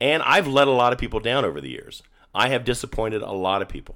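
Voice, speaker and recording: Here is a man speaking. His intonation is lively. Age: 50s. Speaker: solo podcaster. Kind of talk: personal monologue. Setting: apartment.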